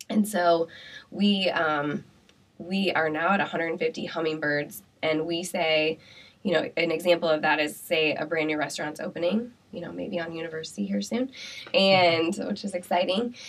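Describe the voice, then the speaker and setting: With an American accent, this speaker talks at a moderate pace with ordinary pitch variation over noticeable background noise. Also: woman, fairly low pitch for a woman. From Iowa (Pella). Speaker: entrepreneur. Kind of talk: interview.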